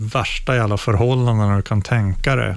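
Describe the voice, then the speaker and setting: An ordinary speaking voice from a man, fairly low in pitch, with fairly even intonation at a moderate pace, on a very clean recording with a silent background. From northern Sweden, Luleå. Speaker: metal band guitarist. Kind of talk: interview.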